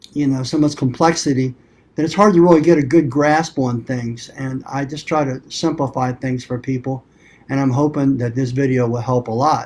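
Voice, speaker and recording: Using a plain, everyday voice, a man talks at a moderate pace. His pitch is medium and his intonation fairly even. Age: 50s. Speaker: carpet cleaning business owner and forum host. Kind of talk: live stream talk. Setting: conference room, live video with computer. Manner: casual, conversational.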